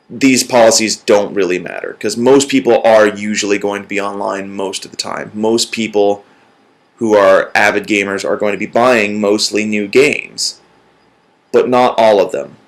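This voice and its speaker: Flat and monotone, a man speaks at a fairly low pitch. His pace is moderate. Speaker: gaming YouTuber. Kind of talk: video commentary. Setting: at home with dog. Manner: loud.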